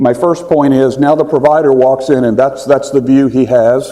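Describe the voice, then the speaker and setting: Speaking with a Texas accent, the voice moves at a fairly quick pace with fairly even intonation. Noticeable background noise runs underneath. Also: man. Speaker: physician and health tech founder. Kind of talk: conference presentation. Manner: fast.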